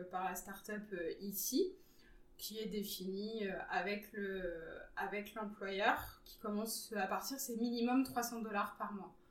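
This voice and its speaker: In a room with audible echo, a woman at medium pitch speaks very slowly, her intonation fairly even but her loudness swinging widely. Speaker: web designer intern. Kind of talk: interview. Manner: hesitant with fillers.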